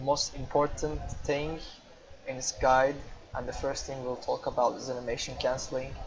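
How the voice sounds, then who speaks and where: Speaking at a moderate pace with a Turkish accent, a man leaves long, frequent pauses against noticeable background noise. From Turkey. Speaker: gamer. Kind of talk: tutorial. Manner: improvised, with hesitations.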